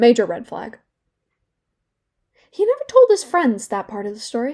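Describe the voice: A put-on character voice moves at a moderate pace with very wide pitch swings. Its tone is slightly mellow. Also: woman, fairly high pitch for a woman.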